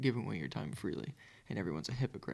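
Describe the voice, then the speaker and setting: Soft-spoken and with vocal fry, a man at medium pitch lets his voice swing very widely in pitch. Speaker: philosophy podcaster. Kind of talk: casual chat. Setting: home recording at night.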